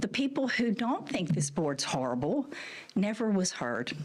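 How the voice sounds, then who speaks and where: With very wide pitch swings, a woman speaks at a moderate pace in a somewhat breathy voice. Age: 60s. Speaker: massage therapist. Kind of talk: public testimony. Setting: legislative committee hearing room.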